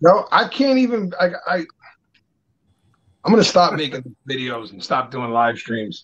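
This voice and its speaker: This man's fairly high voice swings very widely in pitch as he talks at a fairly slow pace with long, frequent pauses. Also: big swings in loudness. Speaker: podcast co-host. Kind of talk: casual chat. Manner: loud.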